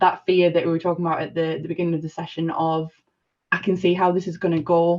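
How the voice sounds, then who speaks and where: With a Sunderland accent, a woman talks very fast in a fairly low, monotone voice with flat intonation. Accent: northern English (Mackem). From northern England, Sunderland area. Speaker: discussion participant. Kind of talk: panel discussion. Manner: halting, many fillers and restarts.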